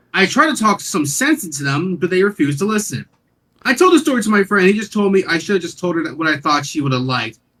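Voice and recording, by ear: The background stays quiet while a person reads aloud in a natural voice.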